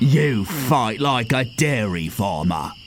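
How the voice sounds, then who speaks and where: Using a put-on character voice at medium pitch, a man speaks at a very slow pace against clear background noise. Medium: video game. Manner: gruff, growling.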